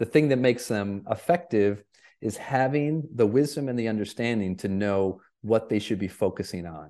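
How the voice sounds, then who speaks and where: A plain, everyday voice in an American accent, with lively intonation at a moderate pace. The background is quiet. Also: man, medium pitch for a man. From Michigan. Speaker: keynote speaker and performance coach. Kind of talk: podcast interview.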